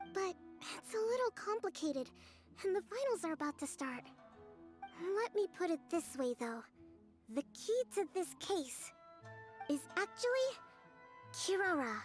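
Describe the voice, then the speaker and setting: Over clear background music, a woman does a put-on character voice at an extremely high pitch, with very wide pitch swings, long, frequent pauses and a moderate pace. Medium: video game. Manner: calm, measured, polite.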